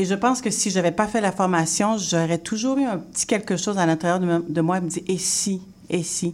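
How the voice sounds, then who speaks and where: This woman has an unremarkable speaking voice at a medium pitch, with ordinary pitch variation and a moderate pace. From Haitian heritage, Quebec. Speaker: interior designer and teacher. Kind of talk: radio interview.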